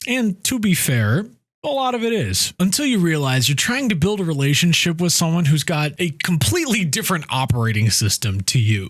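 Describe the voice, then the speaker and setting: Pitched high with very wide swings, a man talks at a fairly quick pace at a very even loudness and with hardly any pauses. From United States. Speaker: expat vlogger. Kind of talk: casual talk to camera.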